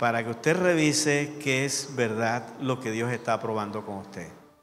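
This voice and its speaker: A man's lively intonation comes through noticeable background noise and audible room echo. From Colombian Caribbean coast (Sucre/Córdoba region). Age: 60s. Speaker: guest pastor. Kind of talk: sermon. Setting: church.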